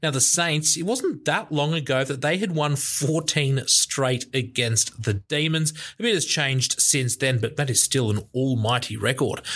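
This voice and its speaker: A man talks at a moderate pace with hardly any pauses and very even loudness. His pitch is fairly high, with ordinary pitch variation. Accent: Australian. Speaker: podcast co-host. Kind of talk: casual sports chat.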